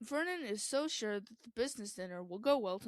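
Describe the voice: The intonation is lively. The delivery is plain reading aloud.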